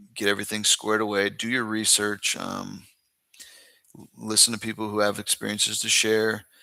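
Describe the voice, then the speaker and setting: On a very clean recording with a silent background, a man with an American accent talks at a moderate pace in a fairly low pitch and a bright, sharp tone. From Northern California, US. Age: 30s. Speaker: expat content creator. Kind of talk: live-stream Q&A. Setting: live stream.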